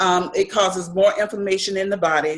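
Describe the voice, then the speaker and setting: This is a woman talking. Her pitch sits in the medium range. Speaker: nutrition educator. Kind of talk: online presentation. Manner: fast.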